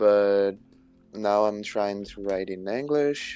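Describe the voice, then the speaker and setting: A fairly slow pace in a Portuguese accent. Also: man. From Brazil. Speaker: stream guest, amateur writer. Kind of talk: casual chat. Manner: halting, many repetitions and false starts.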